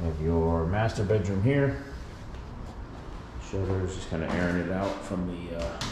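Recorded with noticeable background noise and audible room echo, a man speaks with a very deep, low pitch and ordinary pitch variation. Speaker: property seller or renovator. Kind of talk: casual walkthrough tour. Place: home room. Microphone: phone near.

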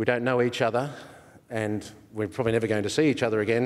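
The man has an Australian accent and talks at a very fast pace. His intonation is monotone and flat, over a quiet background. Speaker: session chair. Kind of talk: anecdote telling. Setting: conference stage with audience. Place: hall. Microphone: podium.

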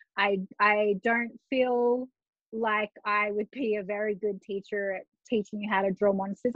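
A woman speaks with an Australian accent. Her pitch is fairly high. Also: quiet background, dry sound with no echo. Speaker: journaling artist; podcast guest. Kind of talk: casual interview chat. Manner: animated, laughs often. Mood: relaxed, self-deprecating. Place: home room. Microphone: video call.

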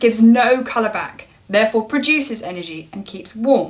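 A woman speaks at a fairly quick pace with ordinary pitch variation. Her loudness swings widely. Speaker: lighting designer vlogger. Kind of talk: casual explainer vlog. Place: home room.

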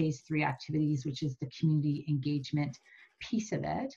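A woman with a somewhat breathy voice speaks against a quiet background. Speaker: meeting facilitator presenting slides. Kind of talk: meeting presentation. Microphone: video call.

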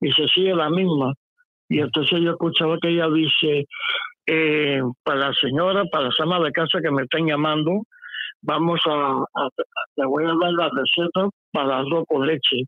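A man with a fairly high pitch talks at a moderate pace, leaving long, frequent pauses. His intonation is fairly even and his loudness very even. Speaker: caller. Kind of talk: phone-in call.

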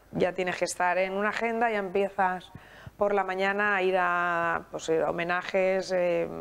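A woman at a fairly slow pace, monotone and flat in intonation. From Spain, Alicante; Spain. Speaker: festival federation president; guest. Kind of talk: interview. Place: studio. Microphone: lapel.

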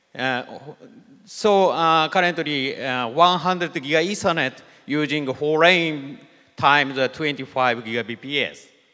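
Against a quiet background, a man with a fairly high pitch and a bright, sharp tone speaks very slowly with ordinary pitch variation. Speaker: systems engineer; conference presenter. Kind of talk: conference talk. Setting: stage with audience. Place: hall.

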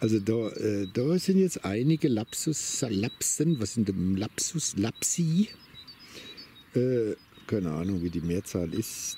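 A somewhat breathy man speaks at a very slow pace in a dark, mellow tone, with very wide pitch swings. The sound is dry with no echo, over light background noise. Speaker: vlogger on a walk. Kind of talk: casual monologue while walking. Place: open country.

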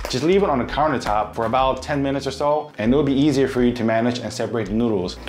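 Clear background noise sits behind a man talking fast at a medium pitch.

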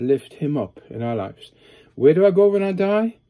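Against a quiet background, a man with a Norwegian accent speaks in a dark, mellow tone with very wide pitch swings. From Norway. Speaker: pastor and psychiatric hospital worker. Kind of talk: sermon-style video talk. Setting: home study, recording alone. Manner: hesitant, many filler uhs. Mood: earnest, calm. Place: home room. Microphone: phone near.

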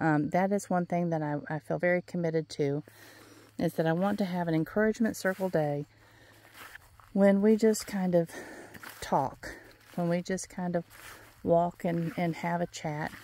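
The voice has a dark, mellow tone and ordinary pitch variation at a moderate pace, with long, frequent pauses. The sound is dry, with no echo. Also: woman. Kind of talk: casual vlog chat. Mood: relaxed, reflective. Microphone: phone near.

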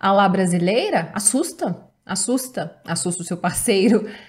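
A somewhat breathy woman at a fairly slow pace, with lively intonation and a quiet background. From Brazil. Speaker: YouTuber giving relationship advice. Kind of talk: advice video reading and commenting on viewer's letter. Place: home room.

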